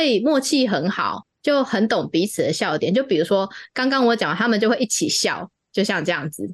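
Against a quiet background, a woman talks at a moderate pace, her fairly high voice making very wide pitch swings. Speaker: podcast host. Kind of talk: casual chat.

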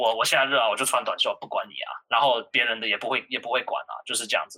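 Talking at a very fast pace, a man uses a medium pitch and a bright, sharp tone. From New York. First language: English (speaking Chinese). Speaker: college student. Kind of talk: casual chat. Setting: online call.

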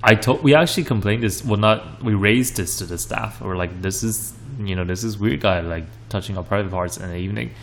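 A man at a very fast pace, fairly low in pitch with ordinary pitch variation, amid noticeable background noise. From Taiwan, Kaohsiung. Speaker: podcast co-host. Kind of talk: casual chat. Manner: hesitant, many fillers.

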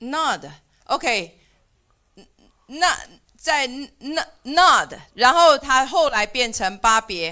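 On a very clean recording with a silent background, a woman with a Mandarin accent speaks very slowly in a raised, projected, high-pitched voice with a bright, sharp tone, very wide pitch swings, big swings in loudness, and long, frequent pauses. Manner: halting.

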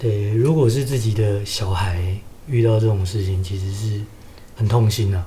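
Delivered at a moderate pace with fairly even intonation in a Taiwanese accent, the speech comes through noticeable background noise and audible room echo. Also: man, fairly low pitch for a man. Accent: Taiwanese Mandarin. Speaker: podcast co-host. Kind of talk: casual chat.

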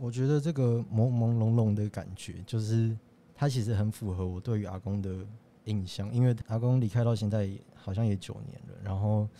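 A man talks in a fairly low pitch with a dark, mellow tone. His intonation stays fairly even. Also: moderate pace. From Taiwan, Tainan. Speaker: student animation director. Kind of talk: casual interview.

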